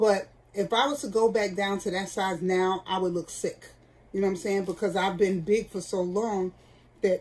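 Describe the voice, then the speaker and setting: Her pace is moderate, broken by long, frequent pauses. The woman's intonation stays fairly even. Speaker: vlogger. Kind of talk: casual vlog chat. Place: home room. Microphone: phone near.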